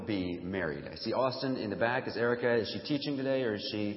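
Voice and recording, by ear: Amid audible room echo, a raspy man with fairly low pitch speaks with lively intonation.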